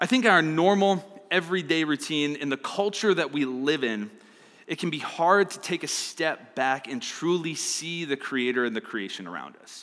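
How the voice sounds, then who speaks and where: This man has a plain, everyday voice, fairly high in pitch, with lively intonation, big swings in loudness and a moderate pace. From Arizona. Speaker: youth pastor. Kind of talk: sermon.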